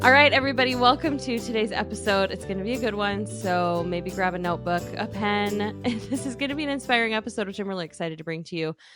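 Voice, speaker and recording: Over music in the background, a woman races along at a very fast pace with very wide pitch swings and hardly any pauses. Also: medium pitch for a woman. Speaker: podcast host. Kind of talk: podcast intro.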